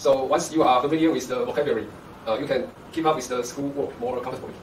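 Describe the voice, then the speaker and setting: A man with a Chinese accent speaks very fast in a fairly high voice. Noticeable background noise and audible room echo are present. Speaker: university professor. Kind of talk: interview.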